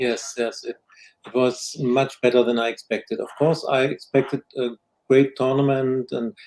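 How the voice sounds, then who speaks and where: A man speaks at a moderate pace with a German accent. His voice sits at a medium pitch, delivered in a flat monotone. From Germany. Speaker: football show co-host. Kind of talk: casual chat. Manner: hesitant, many fillers.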